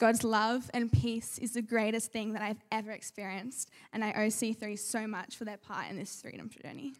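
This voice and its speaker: Speaking with an Australian accent, a woman with a fairly high pitch talks at a moderate pace in a monotone, flat intonation with big swings in loudness and hardly any pauses, on a very clean recording with a silent background. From Sydney, Australia. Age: young. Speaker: church member. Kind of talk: testimony.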